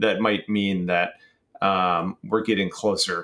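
A normal speaking voice from a man, moderate pace, ordinary pitch variation, in a very clean recording with a silent background. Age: 30s. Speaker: YouTube gaming content creator. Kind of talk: casual chat.

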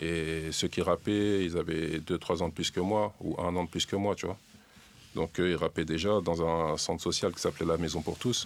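Speaking at a moderate pace, a man has a very deep, low pitch and fairly even intonation. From Le Havre, France. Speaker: rap scene member. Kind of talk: casual chat.

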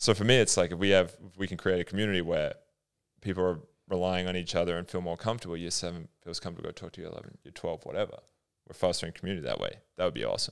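Speaking at a very fast pace with a very deep, low pitch, a man keeps his intonation fairly even while his loudness swings widely. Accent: American. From Australia, adulthood in US (Detroit). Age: 30s. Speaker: podcast co-host. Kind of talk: casual chat.

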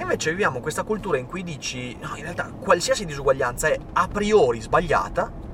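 Over noticeable background noise, a high-pitched man talks at a fairly quick pace with hardly any pauses, lively intonation and big swings in loudness. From northern Italy, Veneto (Vicenza province). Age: 30s.

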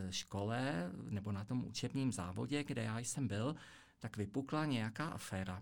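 A man's normal speaking voice at a medium pitch, fairly slow pace and ordinary pitch variation, on a very clean recording with a silent background. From Czech Republic. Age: 50s. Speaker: economist and accountant. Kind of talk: interview. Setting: studio.

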